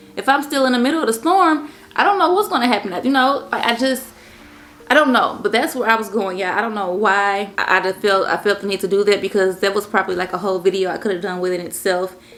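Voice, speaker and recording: A woman with a medium-pitched voice speaks very fast with lively intonation over noticeable background noise. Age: 30s. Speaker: lifestyle vlogger. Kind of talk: casual chat. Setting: sit-down video at home. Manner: stuttering at times.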